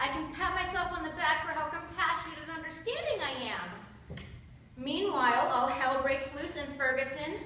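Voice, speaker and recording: A woman with an American accent projects her voice at a fairly slow pace. Noticeable background noise runs underneath. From Pittsburgh, United States. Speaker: seminary student. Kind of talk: spoken-word sermon, delivered live to an audience. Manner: rhythmic, emphatic, earnest.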